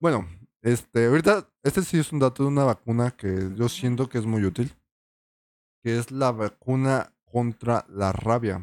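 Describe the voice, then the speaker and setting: With a Mexican accent, a man speaks at a fairly slow pace with ordinary pitch variation. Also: medium pitch for a man, very clean recording, silent background. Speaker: podcast co-host. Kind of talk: casual chat.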